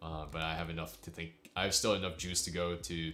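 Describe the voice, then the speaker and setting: Very fast speech from a man with a very deep, low pitch, plus audible room echo. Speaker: piano streamer. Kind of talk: live stream chat. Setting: live stream. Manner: low-key, subdued; halting.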